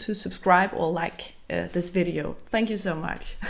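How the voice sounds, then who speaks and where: A woman talks with a Danish accent and vocal fry. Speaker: bullet journal vlogger. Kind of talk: voiceover tutorial. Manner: halting.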